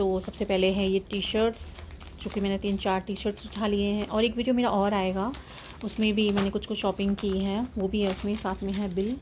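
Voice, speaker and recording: Over light background noise, a woman speaks at a moderate pace in a monotone, flat intonation. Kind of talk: casual shopping haul vlog. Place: home room. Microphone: phone near.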